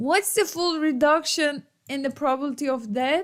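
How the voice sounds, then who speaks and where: A woman speaks with a Turkish accent. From Turkey. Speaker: economics professor. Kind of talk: lecture. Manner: casual.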